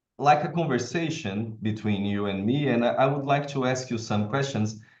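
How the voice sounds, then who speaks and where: A man speaks with ordinary pitch variation, and audible room echo is present. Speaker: professor and event moderator. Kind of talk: interview. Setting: video call.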